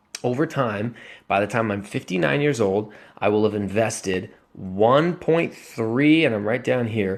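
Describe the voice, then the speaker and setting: Over a quiet background, a man with a plain, everyday voice talks at medium pitch. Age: 20s. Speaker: personal finance vlogger. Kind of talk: casual screen-share commentary.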